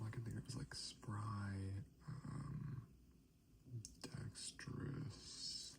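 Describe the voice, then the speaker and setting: The voice whispers, soft-spoken, at a very slow pace. Long pauses come often. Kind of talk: ASMR soft-spoken talk while doing puzzles. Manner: soft-spoken, whispering.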